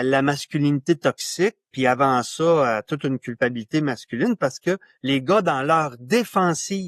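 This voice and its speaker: A man with a normal speaking voice talks at a fairly slow pace, fairly high in pitch and with lively intonation. The sound is dry and close with no echo, over a quiet background. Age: 60s. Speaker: author and men's issues pioneer. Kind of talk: podcast interview.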